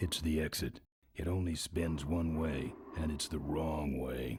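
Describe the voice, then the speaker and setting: A put-on, raspy character voice from a man, very deep and low in pitch, fairly slow, with fairly even intonation. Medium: video game. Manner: gruff, dry muttering.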